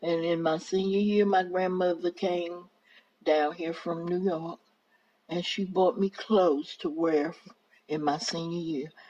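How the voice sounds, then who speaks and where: A woman's dark, mellow tone, fairly low in pitch, with fairly even intonation and a fairly slow pace. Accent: North Carolina. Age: 70s. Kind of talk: oral history interview answer. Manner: relaxed, effortless storytelling.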